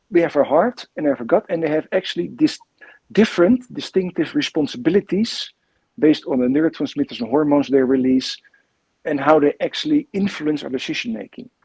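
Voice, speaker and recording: Recorded dry and close with no echo, a man with a Dutch accent speaks at a fairly quick pace in a fairly high pitch. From Netherlands. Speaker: coach and coach trainer. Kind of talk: interview. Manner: halting, repeats words.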